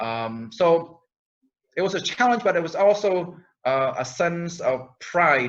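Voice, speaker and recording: A man speaks with a Minnesota accent. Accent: Minnesota American English. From Minnesota, born in Cambodia. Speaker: genocide survivor community speaker. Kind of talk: panel discussion. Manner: halting, many fillers.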